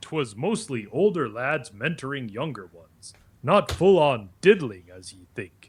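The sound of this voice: A man puts on a character voice, talking at a moderate pace and a fairly high pitch.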